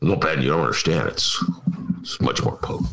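A man rattles along at a fairly quick pace in a raspy, put-on character voice with very deep, low pitch. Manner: grumpy, complaining.

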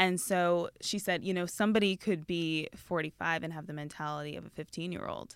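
A plain, everyday voice at a fairly quick pace, with fairly even intonation and big swings in loudness, on a very clean recording with a silent background. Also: woman, fairly low pitch for a woman. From Canada. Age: 20s. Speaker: magazine editor. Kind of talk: casual chat.

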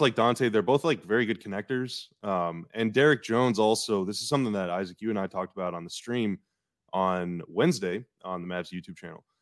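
This man has an unremarkable speaking voice, fairly low in pitch, with ordinary pitch variation and a fairly quick pace. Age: 30s. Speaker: sports podcast host. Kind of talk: casual chat. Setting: video call from home.

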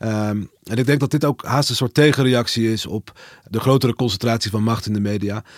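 A man talks at a fairly quick pace in a medium pitch. The recording is very clean with a silent background and a dry, close sound with no echo. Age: 30s. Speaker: media journalist. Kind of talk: interview. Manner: halting.

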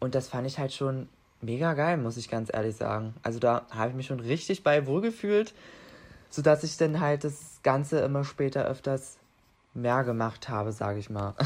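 A man speaks at a moderate pace and medium pitch with ordinary pitch variation, in a plain, everyday voice. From Saxony-Anhalt, Germany. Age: young. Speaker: apprentice. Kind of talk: casual interview. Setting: video call.

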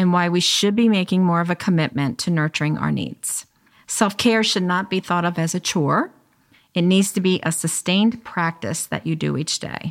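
With a plain, everyday voice, a woman speaks at a moderate pace in a fairly low pitch with ordinary pitch variation, on a very clean recording with a silent background. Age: 50s. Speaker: podcast host and life coach. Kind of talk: casual chat; scripted intro.

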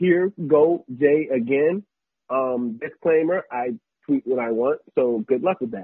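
Speaking very slowly with lively intonation, a man with an American accent uses a fairly high pitch. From US, military family (Texas, Virginia, New Jersey). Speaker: sports blogger and videographer. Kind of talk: casual chat.

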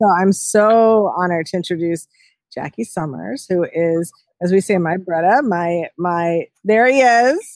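At a fairly slow pace, a woman with a fairly low pitch and lively intonation uses a normal speaking voice. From New York City. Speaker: historian and food writer. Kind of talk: interview.

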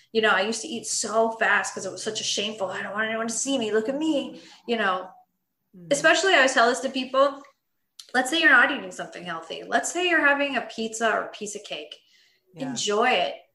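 A woman with an American accent talks at a very fast pace in a fairly high pitch. Her intonation is lively, and the room echo is audible. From US West Coast, Los Angeles. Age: 30s. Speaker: nutrition coach. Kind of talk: interview.

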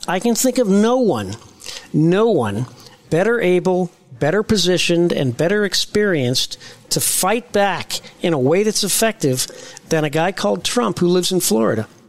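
Speaking with an American accent at a moderate pace, the voice makes very wide pitch swings at very even loudness. Noticeable background noise is present. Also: man, high pitch for a man. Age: 60s. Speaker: political podcast co-host. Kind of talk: political talk show discussion.

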